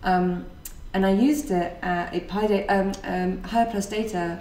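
Against noticeable background noise, a woman speaks at a medium pitch with ordinary pitch variation. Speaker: podcast host and meetup organiser. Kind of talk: casual chat, podcast.

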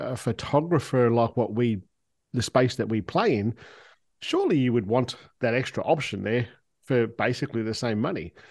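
A man talks at a moderate speed in an Australian accent. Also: very clean recording, silent background. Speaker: smartphone photographer. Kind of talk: casual chat.

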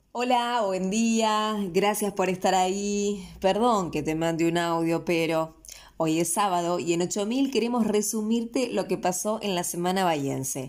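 A woman with a Rioplatense accent talks at a fairly slow pace, her pitch medium with ordinary variation. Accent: Argentine Rioplatense Spanish. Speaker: local news host. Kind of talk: news reading.

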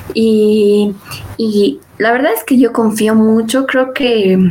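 Over noticeable background noise, a woman talks with a fairly high pitch and fairly even intonation. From Bolivia. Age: 20s. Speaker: student tech community leader. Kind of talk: interview.

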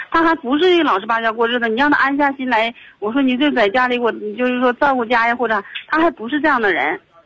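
A woman talks at a very fast pace. Her voice is high, with ordinary pitch variation. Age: 30s. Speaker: caller. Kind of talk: phone-in advice call. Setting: phone call. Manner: halting.

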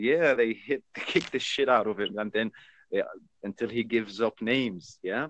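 Speaking with an Arabic accent, a man at medium pitch uses ordinary pitch variation and a moderate pace, with a dry, close sound and no echo. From Jordan. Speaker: chat stranger. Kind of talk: casual chat.

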